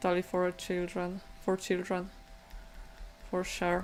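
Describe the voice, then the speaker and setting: With music in the background, a woman speaks very slowly with a non-native accent. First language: not English. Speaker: digital painting streamer. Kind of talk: live stream painting chat. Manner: halting. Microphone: bad microphone.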